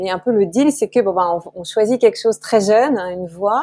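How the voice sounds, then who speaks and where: This woman speaks at medium pitch and a fairly quick pace, with ordinary pitch variation and a dark, mellow tone. The sound is dry and close, with no echo. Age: 40s. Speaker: author. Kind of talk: interview. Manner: halting, many fillers and repetitions.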